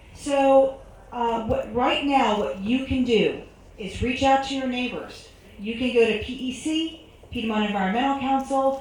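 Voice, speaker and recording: A woman speaks loudly at a fairly slow pace, high in pitch with ordinary pitch variation, amid noticeable background noise and audible room echo. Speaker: panelist at community forum. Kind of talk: public forum Q&A answer. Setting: stage with audience. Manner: animated.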